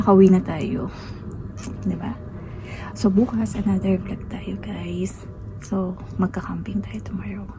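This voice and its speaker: A woman talks at a fairly slow pace with long, frequent pauses and big swings in loudness. Music plays in the background, and there is audible room echo. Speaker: vlogger. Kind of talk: casual vlog talk. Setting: outdoors at a restaurant. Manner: soft-spoken, hushed.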